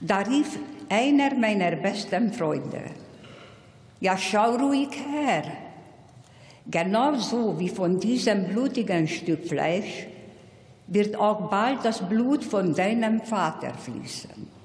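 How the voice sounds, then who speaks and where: Speaking very slowly with long, frequent pauses, a woman uses lively intonation against audible room echo and noticeable background noise. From Hungary. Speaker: Holocaust survivor. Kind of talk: commemorative speech. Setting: parliament plenary hall.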